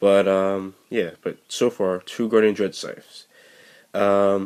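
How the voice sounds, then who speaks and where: Very deep and low, a man's voice stays monotone and flat. The recording is very clean, with a silent background. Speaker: card game deck reviewer. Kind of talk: tutorial. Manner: halting.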